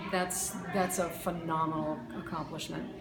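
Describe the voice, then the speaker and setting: At a moderate pace and fairly low pitch, a woman talks amid noticeable background noise and audible room echo. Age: 60s. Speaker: science teacher. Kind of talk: interview answers.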